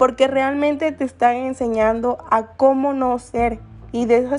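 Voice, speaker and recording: A woman with a high pitch talks fairly slowly, keeping her intonation fairly even. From Guerrero, Mexico (San Marcos, coast). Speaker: student podcaster. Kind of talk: personal essay monologue.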